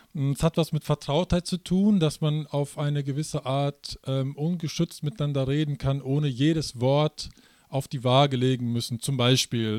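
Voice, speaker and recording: Fairly high male voice, fairly slow and fairly even in intonation, on a very clean recording with a silent background. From Münsterland, Germany. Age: 40s. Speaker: pastor. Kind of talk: interview. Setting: conference venue. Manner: hesitant with fillers.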